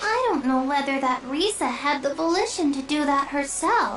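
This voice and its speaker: A female-sounding, put-on character voice with a high pitch moves at a moderate pace over clear background noise. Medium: video game. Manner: chirpy, singsong, repetitive.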